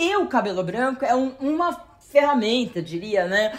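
Delivery holds to a moderate pace. Its pitch rises and falls over a very wide range. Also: woman. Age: 40s. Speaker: journalist. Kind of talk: casual chat.

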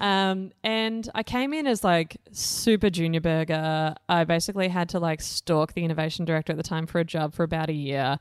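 On a very clean recording with a silent background, a woman with an Australian accent and fairly low pitch speaks at a fairly quick pace with hardly any pauses and ordinary pitch variation. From Australia, Blue Mountains, New South Wales. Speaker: startup organisation CEO. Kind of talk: interview. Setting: boardroom. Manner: animated.

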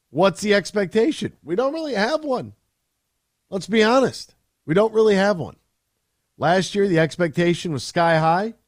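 High-pitched male speech with lively intonation, a moderate pace and long, frequent pauses. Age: 30s. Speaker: sports radio host. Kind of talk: sports talk radio.

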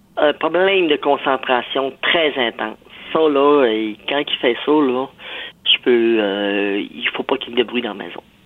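A woman's very deep, low pitch with lively intonation, a fairly slow pace and long, frequent pauses. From rural Saguenay, Quebec. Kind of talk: testimony.

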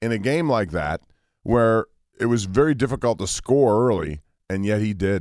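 A man at medium pitch and moderate pace, with an unremarkable speaking voice. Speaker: sports broadcaster. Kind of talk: casual sports talk show. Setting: radio studio.

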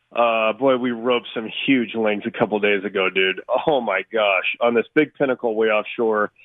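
A man's ordinary speaking voice, medium in pitch, at a moderate pace with fairly even intonation and hardly any pauses. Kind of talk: casual chat.

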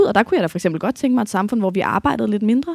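Her pitch fairly high, a woman speaks with lively intonation. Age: 30s. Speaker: feminist activist. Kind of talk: live panel debate. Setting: stage with audience.

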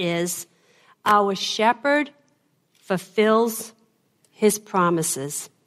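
With a Boston accent, a woman speaks with lively intonation. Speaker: preacher. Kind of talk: sermon.

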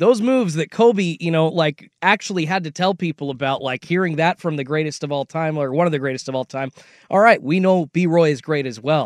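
A man's plain, everyday voice, fairly high in pitch and fairly quick, with lively intonation over a quiet background and a dry, close sound with no echo. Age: 30s. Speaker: sports radio host. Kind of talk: casual banter.

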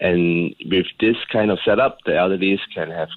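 This man has a very deep, low pitch. He talks at a moderate pace with fairly even intonation. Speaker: senior living entrepreneur. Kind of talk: radio interview. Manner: calm.

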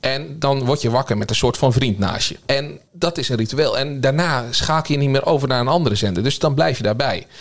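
An ordinary speaking voice from a man at a medium pitch, with ordinary pitch variation and hardly any pauses. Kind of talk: casual panel discussion.

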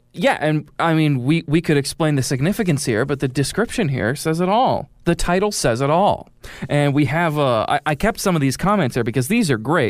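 Here a man speaks with an American accent. His fairly high pitch comes at a fairly quick pace. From Springfield, Illinois, US Midwest. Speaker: radio host. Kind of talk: casual radio talk show. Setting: radio studio.

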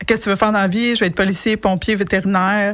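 This woman talks at a fairly high pitch in a Quebec accent. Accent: Québécois French. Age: 40s. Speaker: entrepreneur and coach. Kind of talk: radio interview. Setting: radio studio.

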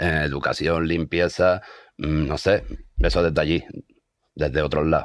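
A man with a very deep, low voice and vocal fry speaks fairly slowly, with long, frequent pauses. His loudness stays very even and his pitch varies in an ordinary way. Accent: Andalusian. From Andalusia, Seville. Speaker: musician. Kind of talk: interview.

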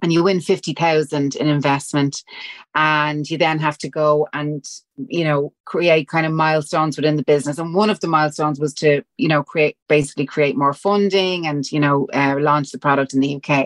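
In a strong Dublin accent, a woman with a very deep, low pitch speaks at a moderate pace with fairly even intonation, the sound dry and close with no echo and the background quiet. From Dublin, Ireland. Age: 40s. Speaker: fitness brand founder. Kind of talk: casual interview chat.

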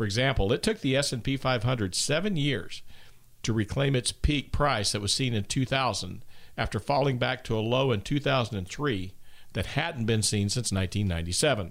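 This is a plain, everyday voice with lively intonation. The pace is fairly quick, in a very clean recording with a silent background. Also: man, medium pitch for a man. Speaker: financial advisor. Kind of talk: radio talk show. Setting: studio.

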